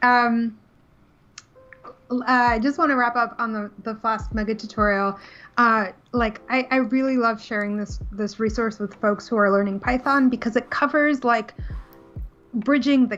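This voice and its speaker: Fairly high-pitched, a woman speaks at a moderate pace with fairly even intonation. Her pauses are long and frequent. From New York City. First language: Russian. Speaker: Python developer advocate. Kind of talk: casual chat. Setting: live stream.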